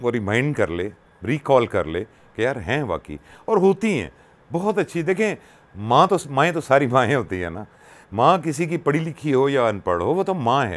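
Vocal fry at a moderate pace, with very wide pitch swings. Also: man, fairly high pitch for a man. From Pakistan, Punjab (Attock); Punjab, Pakistan. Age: 60s. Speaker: radio presenter and social worker; interview guest, radio presenter. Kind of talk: personal storytelling interview. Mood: warm, emotional, reflective. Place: home room. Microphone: lapel.

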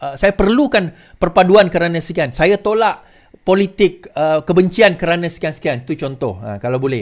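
Speaking at a moderate pace in a Malaysian accent, a man uses a high pitch against a quiet background. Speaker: political commentator. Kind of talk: political commentary monologue to camera. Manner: informal, rambling, self-correcting. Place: home room. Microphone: studio mic.

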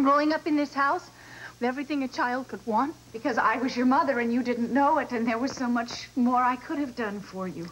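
Her voice sits high in pitch, and this woman shows ordinary pitch variation. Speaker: soap opera actress playing a mother. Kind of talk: drama dialogue. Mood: emotional, tender confession. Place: stage.

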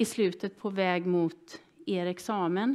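Behind a woman's speech, the background stays quiet. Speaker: seminar moderator. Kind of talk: event introduction to audience. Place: hall.

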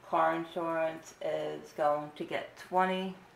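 A woman speaks in a room with audible echo and light background noise. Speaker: budgeting vlogger. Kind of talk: casual tutorial narration.

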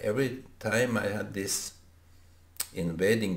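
A very slow pace in audible room echo. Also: man. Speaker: vlogger. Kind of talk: casual vlog chat. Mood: reflective, thoughtful. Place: home room. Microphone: webcam.

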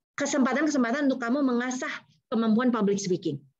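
Noticeable background noise sits behind the recording. A woman speaks at a high pitch with lively intonation. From Indonesia. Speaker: university lecturer and public speaking trainer; university lecturer, public speaking trainer. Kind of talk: webinar talk. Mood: warm, encouraging. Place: home room. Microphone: video call.

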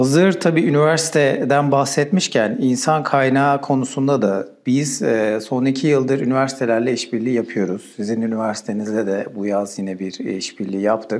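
The man's pitch is medium, with ordinary variation. He keeps a moderate pace with hardly any pauses. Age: 40s. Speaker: software company country manager, interviewer; interviewer. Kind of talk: interview. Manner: hesitant with many filler sounds. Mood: calm, polite. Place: studio. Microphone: lapel.

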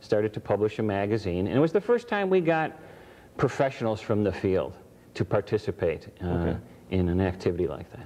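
At a fairly quick pace, a man talks in an unremarkable speaking voice pitched fairly low. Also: lively intonation. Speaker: ventriloquist. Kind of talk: interview answer. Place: studio.

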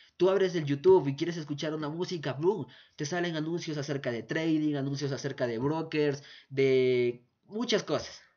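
A man talks in a fairly high voice at a moderate pace. His pitch varies in an ordinary way. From Ecuador. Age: 20s. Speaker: forex trading youtuber. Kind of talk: tutorial.

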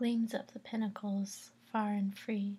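A soft-spoken, somewhat breathy woman with a dark, mellow tone and monotone, flat intonation, at a very slow pace. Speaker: vlogger. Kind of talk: poetry reading, casual vlog chat. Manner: soft, hushed reading voice. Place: home room. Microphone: webcam.

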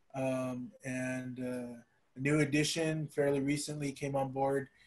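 A man with an American accent speaks at a fairly slow pace in a monotone, flat delivery. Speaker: panelist. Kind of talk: panel discussion. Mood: warm, optimistic. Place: home room. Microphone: video call.

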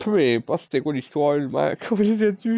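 With very wide pitch swings, a man speaks in a dry sound with no echo. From Quebec. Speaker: vlogger. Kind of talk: personal confession. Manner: loud. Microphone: phone near.

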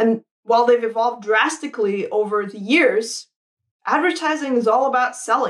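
With a quiet background, a woman speaks in a high pitch, her tone enthusiastic and her intonation lively. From Saudi Arabia. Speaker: product designer. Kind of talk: conference talk. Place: home room.

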